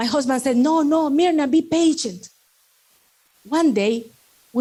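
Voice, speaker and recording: A woman speaks in a Salvadoran accent with a dark, mellow tone. Her pace is moderate. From El Salvador. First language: Spanish. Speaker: network marketing speaker, doctor and medical instructor. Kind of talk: motivational talk.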